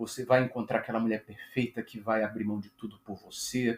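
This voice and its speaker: A somewhat breathy man speaks at a fairly slow pace on a very clean recording with a silent background. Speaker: YouTuber on narcissistic abuse recovery. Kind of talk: monologue to camera. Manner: halting, with repetitions.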